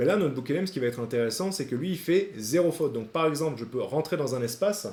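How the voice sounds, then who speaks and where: Somewhat breathy and dark, mellow in tone, a man speaks fairly quickly at a fairly high pitch with lively intonation. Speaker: AI sales trainer / YouTuber. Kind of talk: tutorial. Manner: fast.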